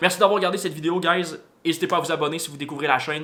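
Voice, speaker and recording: In a Quebec accent, a man speaks with fairly even intonation. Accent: Québécois French. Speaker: motorcycle vlogger. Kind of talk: casual vlog talk to camera. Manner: fast; hesitant with many fillers.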